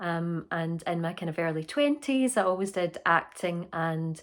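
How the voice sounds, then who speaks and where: A fairly low-pitched woman's voice with a Scottish accent, on a very clean recording with a silent background. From Scotland. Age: 30s. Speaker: actor. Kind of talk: interview.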